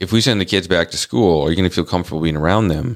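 A man with an American accent speaks at a very deep, low pitch with ordinary pitch variation. The recording is very clean and the background silent. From US Midwest, North Dakota. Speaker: podcast co-host. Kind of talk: casual chat.

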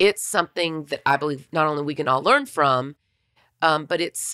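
This woman's voice is low-pitched, raspy and husky with a fairly bright tone, moving at a moderate pace on a very clean recording with a silent background.

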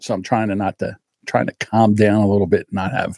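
A man with an American accent, animated in tone, at a moderate pace, in a dry, close sound with no echo. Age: 60s. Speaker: podcast host. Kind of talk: casual monologue.

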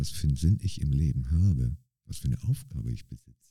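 A man at a moderate pace, somewhat breathy, with a dark, mellow tone and very wide pitch swings. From northern Germany, Bremerhaven. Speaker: street dancer. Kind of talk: interview conversation.

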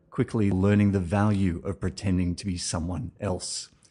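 A man with a dark, mellow tone and a somewhat breathy quality talks at a moderate pace against a quiet background. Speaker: podcast host interviewer. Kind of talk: interview.

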